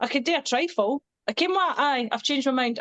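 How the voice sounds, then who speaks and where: Speaking at a fairly quick pace, a woman with a strong Scottish accent has a high pitch, the sound dry and close with no echo. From Scotland. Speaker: singer and social media creator. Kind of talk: casual chat. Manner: animated.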